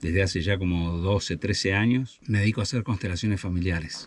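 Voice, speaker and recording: Very deep and low, this man's voice is his most notable trait. His pitch varies in an ordinary way. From Argentina, Buenos Aires province (Chascomús). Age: 60s. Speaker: family constellations facilitator and guesthouse owner. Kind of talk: interview.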